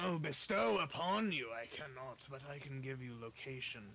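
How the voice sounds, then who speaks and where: A man does a put-on character voice at medium pitch and a moderate pace. Background noise is clearly heard. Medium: actual play. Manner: aloof, dryly sinister.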